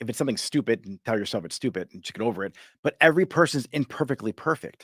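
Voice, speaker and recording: A man of medium pitch speaks very fast with lively intonation and big swings in loudness, in a dry, close sound with no echo and a very clean recording with a silent background. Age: 40s. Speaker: motivational coach and live show host. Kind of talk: motivational talk on a live stream. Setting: live stream. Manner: energetic.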